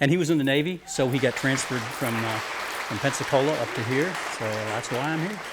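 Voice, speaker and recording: Fairly high-pitched male speech at a fairly quick pace, with ordinary pitch variation, audible room echo and crowd noise in the background. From US South (Alabama/Florida panhandle), moved to Rhode Island at ten. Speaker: musician. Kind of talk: interview.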